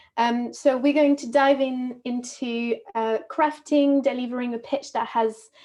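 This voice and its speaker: With a French accent, a woman speaks in a high pitch at a fairly slow pace with monotone, flat intonation. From France, Normandy. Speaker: movement and communication coach. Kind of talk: webinar presentation. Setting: video call webinar.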